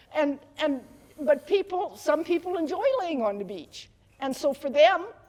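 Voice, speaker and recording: Lively intonation and big swings in loudness over noticeable background noise. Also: woman, high pitch for a woman, moderate pace. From Canada, northern Alberta. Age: 60s. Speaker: homesteader and market gardener. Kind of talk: casual interview conversation.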